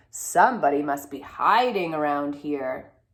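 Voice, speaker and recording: A growling, put-on character voice from a woman, very deep and low, at a moderate pace with lively intonation. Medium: read story.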